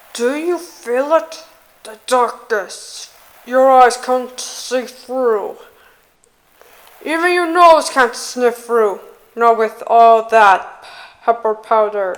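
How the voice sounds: At a very slow pace with long, frequent pauses, a female-sounding put-on character voice speaks with a high pitch.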